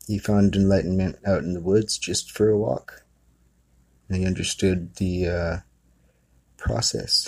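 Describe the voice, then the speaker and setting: A very deep, low-pitched male voice in a relaxed tone, fairly even in intonation, at a fairly slow pace with long, frequent pauses. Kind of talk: retelling a family story in casual storytelling. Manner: conversational, rambling, relaxed with filler words and laughs.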